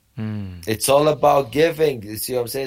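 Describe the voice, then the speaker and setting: A man with a Romanian accent in a very clean recording with a silent background. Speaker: wrestling coach and personal trainer. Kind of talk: interview. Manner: halting.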